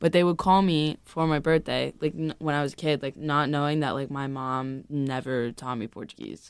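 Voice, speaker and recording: A woman with a Boston accent speaks at a moderate pace with fairly even intonation and hardly any pauses. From US South. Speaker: student podcast co-host. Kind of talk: casual chat.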